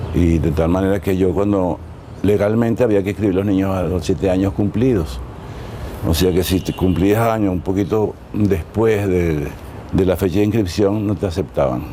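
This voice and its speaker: Over noticeable background noise, a man speaks with a very deep, low pitch and ordinary pitch variation. His loudness stays very even at a moderate pace. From Venezuela. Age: 80s+. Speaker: dancer and choreographer. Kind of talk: interview. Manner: halting.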